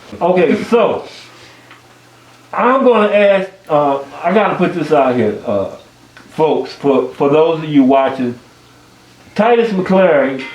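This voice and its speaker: A man with an American accent and a high pitch speaks at a very slow pace with long, frequent pauses and very wide pitch swings, amid audible room echo and noticeable background noise. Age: 60s. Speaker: music show host interviewing bass players. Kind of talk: casual interview. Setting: basement jam session with group.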